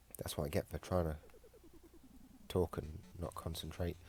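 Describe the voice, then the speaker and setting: A man's very deep, low voice at a moderate pace, with fairly even intonation and music in the background. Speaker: gamer. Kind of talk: gameplay commentary.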